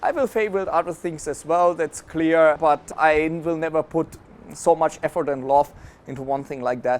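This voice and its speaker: A man with a German accent speaks at a moderate pace in a fairly high pitch with ordinary pitch variation. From Germany. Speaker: affiliate marketing entrepreneur. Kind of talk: interview.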